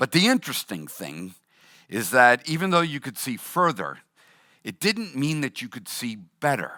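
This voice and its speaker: A man with a Boston accent speaks in a bright, sharp tone with very wide pitch swings. The recording is very clean with a silent background and a dry, close sound with no echo. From Boston, US Northeast. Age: 60s. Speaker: pastor. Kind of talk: sermon.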